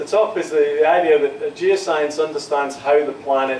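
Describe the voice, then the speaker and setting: Against noticeable background noise and audible room echo, a man speaks slowly at a fairly high pitch with ordinary pitch variation. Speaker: geoscience professor. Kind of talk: lecture. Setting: university lecture room with students. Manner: deliberately slow.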